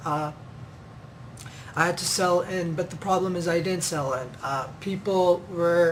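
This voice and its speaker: Against noticeable background noise, a man talks in a high pitch with fairly even intonation. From Pakistan, then Kenya from age thirteen. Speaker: ministry member. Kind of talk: testimony. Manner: halting, many fillers.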